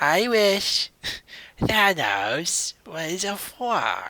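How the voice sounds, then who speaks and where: This is a put-on character voice that sounds female, pitched at a medium level for a woman. It is raspy. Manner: put-on, comedic.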